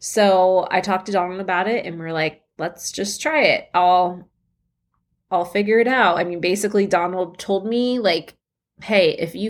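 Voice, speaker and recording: A woman's normal speaking voice at medium pitch and a fairly slow pace, on a very clean recording with a silent background. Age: 30s. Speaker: podcast host, mother of children with rare disease. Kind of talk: casual personal monologue. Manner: casual, filler-heavy.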